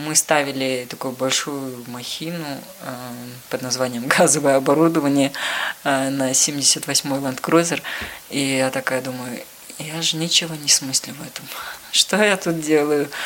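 Over noticeable background noise, a woman with a very deep, low pitch talks at a moderate pace with fairly even intonation and long, frequent pauses. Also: big swings in loudness. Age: 20s. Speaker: car mechanic, former journalist. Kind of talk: interview.

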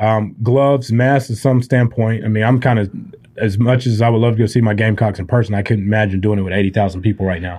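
A man with a Southern US accent has a dark, mellow tone and a fairly low pitch. He talks at a very fast pace with fairly even intonation. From Spartanburg, South Carolina. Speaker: medical supply company CEO. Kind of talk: interview podcast. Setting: studio.

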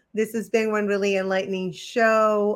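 The speaker is female, her voice pitched in the middle range. Her delivery stays level and monotone throughout. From Argentina. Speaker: podcast host. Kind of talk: casual chat. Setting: livestream.

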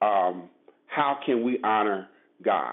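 A man with an American accent at a very slow pace. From Brooklyn, New York City. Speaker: lay preacher. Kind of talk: sermon. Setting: phone call.

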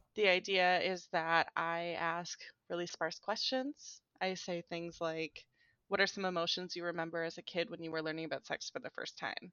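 This woman has an American accent and an unremarkable speaking voice, pitched fairly low. She talks at a moderate pace with fairly even intonation. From US, conservative small town. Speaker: sex education researcher. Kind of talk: casual interview chat.

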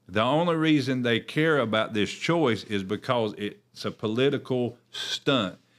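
This man has an unremarkable speaking voice at medium pitch, with ordinary pitch variation. He goes at a fairly slow pace with hardly any pauses, in a very clean recording with a silent background. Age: 40s. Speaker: pastor hosting a church podcast. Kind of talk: religious commentary podcast. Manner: conversational with frequent fillers and repetitions.

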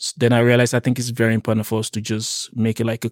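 A man's medium-pitched, monotone, flat voice, dry and close with no echo, in a very clean recording with a silent background. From Nigeria. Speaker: community organizer and podcast host. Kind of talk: casual interview chat.

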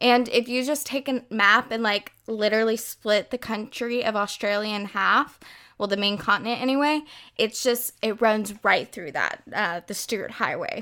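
A woman with an American accent speaks at a fairly high pitch with ordinary pitch variation. Her tone is bright and sharp, and the recording is very clean with a silent background. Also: moderate pace. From United States. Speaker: true crime podcaster, law student. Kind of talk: scripted narration.

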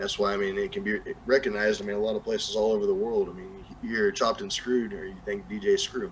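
The speaker has a Southern US accent and talks very fast. Background noise is noticeable. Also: man. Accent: Southern US, country twang. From New Mexico, US. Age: 30s. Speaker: music artist. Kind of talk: casual interview chat. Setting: live stream, video call.

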